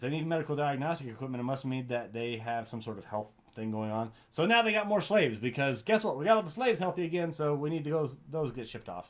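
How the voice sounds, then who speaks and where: Talking at a very fast pace with hardly any pauses, a man uses a fairly high voice with very wide pitch swings. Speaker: gaming YouTuber. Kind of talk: casual unscripted talk to viewers.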